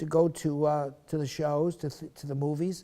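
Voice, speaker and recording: The tone is dark and mellow. The speaker has an American accent. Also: man. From Schenectady, New York, US. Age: 70s. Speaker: oral history interviewee. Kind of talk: oral history interview, reminiscing. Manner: conversational with many fillers and false starts.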